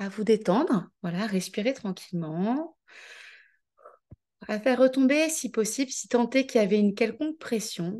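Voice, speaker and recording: Soft-spoken and with a calm, gentle tone, the speaker goes at a fairly slow pace with long, frequent pauses. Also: woman, fairly high pitch for a woman, lively intonation. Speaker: life coach. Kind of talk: guided visualization; online coaching masterclass. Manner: calm, measured pace; soft, gentle.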